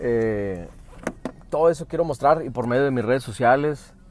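Against noticeable background noise, a man talks at a fairly slow pace with a medium pitch and ordinary pitch variation. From US, Phoenix, Arizona. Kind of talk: casual chat. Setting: in a car.

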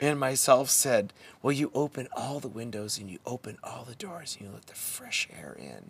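A man speaks at medium pitch and a moderate pace, with ordinary pitch variation and vocal fry. His loudness swings a lot. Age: 50s. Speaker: men's work facilitator. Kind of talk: casual chat.

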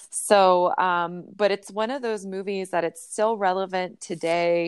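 In an ordinary speaking voice, a woman talks at a fairly low pitch with ordinary pitch variation, recorded very cleanly with a silent background. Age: 30s. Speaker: registered nurse. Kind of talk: casual chat.

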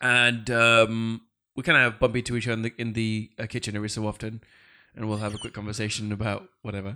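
Against a quiet background, a man with a British accent speaks very fast at medium pitch. His tone is bright and sharp, his intonation monotone and flat. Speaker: podcast host. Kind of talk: casual chat.

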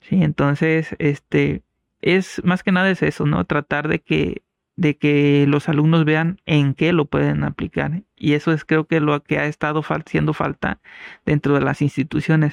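A man with a normal speaking voice talks at a fairly slow pace with fairly high pitch, fairly even intonation and very even loudness, in a dry, close sound with no echo and a quiet background. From Mexico, Costa Grande of Guerrero (San Jerónimo de Juárez). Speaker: mathematics professor. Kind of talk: casual interview.

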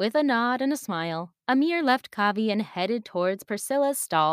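A natural voice reading aloud, lively in its intonation, against a quiet background

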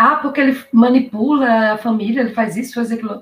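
Somewhat breathy, a woman talks in a fairly high pitch. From Brazil, Recife, Pernambuco. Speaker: YouTuber guest, public-sector worker. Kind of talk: casual live-stream interview. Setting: online live stream. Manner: lively, upbeat.

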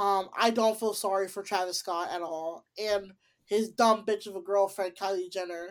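On a very clean recording with a silent background, a woman speaks in a plain, everyday voice at medium pitch with fairly even intonation. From Chicago, US Midwest. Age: 20s. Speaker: podcast host. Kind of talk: casual chat.

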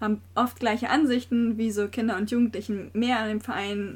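This woman's voice sits fairly high. It sounds somewhat breathy. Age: 20s. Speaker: trainee primary school teacher and youth board member of a sports club. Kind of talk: podcast interview. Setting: small room above the club office.

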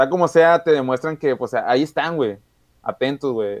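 A man with an ordinary speaking voice talks at a moderate pace with ordinary pitch variation. The sound is dry and close, with no echo. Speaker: podcast co-host. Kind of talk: casual chat. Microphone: recording on a phone.

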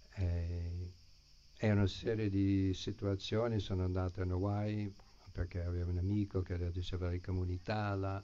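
At a moderate pace, a man talks in a very deep, low voice with a dark, mellow tone and monotone, flat intonation. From US, San Francisco. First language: English (speaking Italian). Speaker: Hare Krishna devotee and teacher. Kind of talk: spiritual talk to an audience. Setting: live gathering with audience, streamed online.

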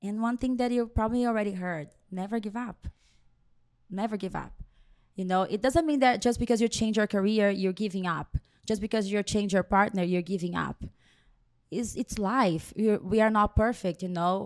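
A woman speaks with a Brazilian accent at a moderate pace. The recording is very clean, with a silent background. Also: medium pitch for a woman, ordinary pitch variation. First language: Portuguese. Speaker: hairstylist. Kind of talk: interview.

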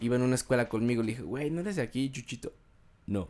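A man's medium-pitched, a normal speaking voice, with ordinary pitch variation. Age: 20s. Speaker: podcast host. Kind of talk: casual chat.

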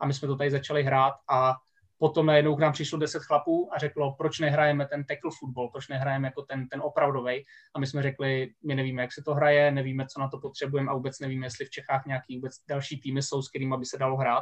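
A man speaks at a very fast pace in a fairly high pitch, his intonation monotone and flat. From Czech Republic, Vysočina. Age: 30s. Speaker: American football coach and teacher. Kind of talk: casual podcast interview.

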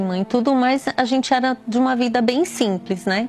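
A woman's plain, everyday voice, with ordinary pitch variation and a moderate pace. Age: 50s. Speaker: teacher giving a religious testimony. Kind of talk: testimony.

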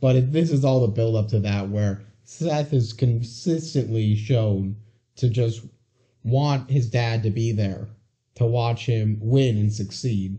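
A man speaks at a very slow pace in a medium pitch, somewhat breathy. His pitch varies in an ordinary way. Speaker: podcast co-host. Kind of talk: casual chat.

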